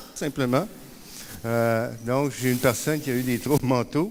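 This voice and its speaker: At medium pitch, a man speaks with a Quebec accent. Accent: Québécois. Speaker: peer support worker. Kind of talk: conference talk. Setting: conference stage with audience. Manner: hesitant, many fillers.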